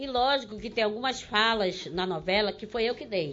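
In a plain, everyday voice, a woman speaks at a moderate pace with lively intonation and a fairly high pitch. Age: 50s. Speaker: actress. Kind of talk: casual chat.

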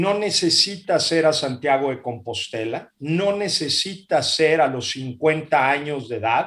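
A man with a fairly high pitch talks at a very slow pace with hardly any pauses and ordinary pitch variation. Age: 50s. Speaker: business executive. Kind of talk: interview.

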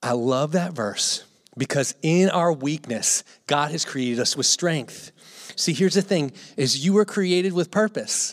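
This man has an ordinary speaking voice, fairly high in pitch, with an American accent. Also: lively intonation, fairly slow pace. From Gloucester, Virginia, US. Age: 30s. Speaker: missionary. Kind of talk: sermon. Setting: church.

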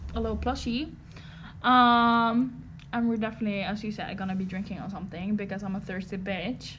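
Medium in pitch, a woman talks at a fairly quick pace with fairly even intonation. Audible room echo surrounds her voice. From western Norway. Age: 20s. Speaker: art student. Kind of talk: casual chat. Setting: live stream.

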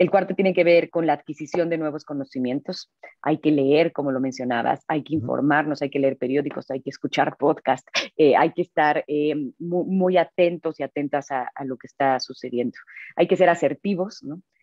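Her voice is very deep and low for a woman, with ordinary pitch variation, a moderate pace and big swings in loudness. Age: 40s. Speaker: business executive and author. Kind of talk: interview.

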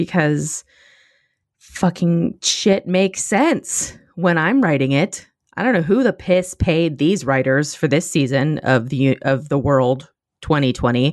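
A woman speaks at a fairly slow pace in an animated tone, her pitch very deep and low. Her loudness stays very even against a quiet background. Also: lively intonation. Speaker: podcast host. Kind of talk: casual chat.

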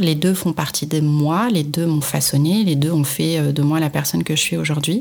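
Noticeable background noise behind a woman's fairly slow speech. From Morocco, Marrakech. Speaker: entrepreneur, founder of a crafts brand. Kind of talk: interview. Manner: halting, many repetitions and hesitations.

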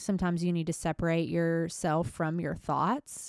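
A woman's plain, everyday voice, fairly low in pitch and at a moderate pace, dry and close with no echo, on a very clean recording with a silent background. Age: 20s. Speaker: solo podcast host. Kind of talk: personal monologue. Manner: casual, conversational.

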